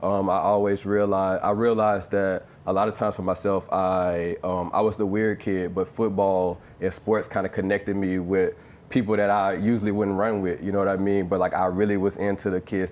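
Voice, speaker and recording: Speaking fairly quickly in a Louisiana accent, a man holds a fairly low pitch with monotone, flat intonation and very even loudness. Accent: Southern (Louisiana). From Louisiana, US South. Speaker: former pro football player and artist. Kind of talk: live conversation at presentation. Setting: live event with audience. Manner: casual, many filler ums.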